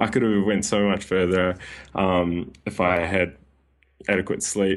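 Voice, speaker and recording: A man talks at a moderate pace in a New Zealand accent. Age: 20s. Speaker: personal trainer and sleep coach. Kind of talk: casual interview.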